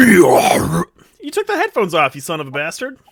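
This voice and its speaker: Putting on a character voice, this man pitches high and keeps a moderate pace. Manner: growling, menacing.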